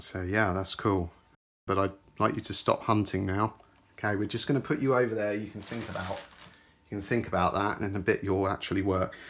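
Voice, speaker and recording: Speaking at a fairly quick pace, a man with a British accent uses a fairly low pitch and fairly even intonation. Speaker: tech YouTuber. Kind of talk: unboxing commentary. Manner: casual, halting.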